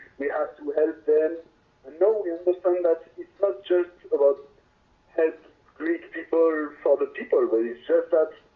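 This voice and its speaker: A high-pitched man with a French accent at a moderate pace, with ordinary pitch variation and long, frequent pauses. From France. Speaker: reggae band singer. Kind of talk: interview. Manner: halting.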